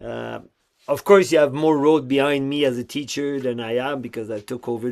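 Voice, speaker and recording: With a Quebec accent, a man speaks using fairly even intonation. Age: 50s. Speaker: clown school director. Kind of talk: interview.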